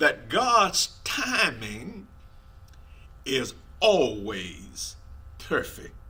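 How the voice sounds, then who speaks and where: This voice belongs to a man. Room echo can be heard. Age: 70s. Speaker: preacher. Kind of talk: sermon.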